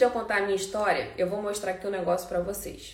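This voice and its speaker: A woman speaks with audible room echo around her. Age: 30s. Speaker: house cleaning business coach. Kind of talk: live webinar class. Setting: Instagram live stream.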